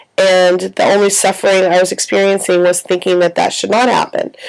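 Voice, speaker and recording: A woman's relaxed tone at a fairly quick pace amid noticeable background noise. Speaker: writer vlogging about their life. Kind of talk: casual video diary. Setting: in bed in a quiet room. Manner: relaxed, with many fillers.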